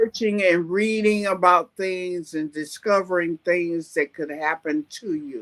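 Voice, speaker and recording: A woman at a very slow pace with ordinary pitch variation, in a dry, close sound with no echo. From US Midwest (East St. Louis, Illinois). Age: 70s. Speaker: retired teacher and survivor. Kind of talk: podcast interview.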